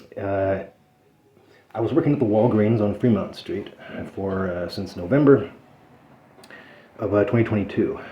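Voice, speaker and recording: With noticeable background noise behind him, a man speaks in a fairly low pitch. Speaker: citizen journalist and activist, criminal defendant. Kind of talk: casual conversation with attorney. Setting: attorney's office meeting. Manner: fast; hesitant, many fillers.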